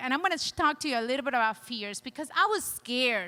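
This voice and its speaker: Raised and projected, a woman's high voice carries a non-native accent, with lively intonation, an animated tone, and a bright, sharp edge. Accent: foreign. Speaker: chiropractor and motivational speaker. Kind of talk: conference talk. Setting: stage with audience.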